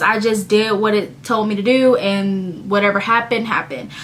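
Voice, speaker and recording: The woman's voice comes through with audible room echo and noticeable background noise. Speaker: vlogger, graduate student. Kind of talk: casual talk to camera. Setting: home recording, looking at laptop.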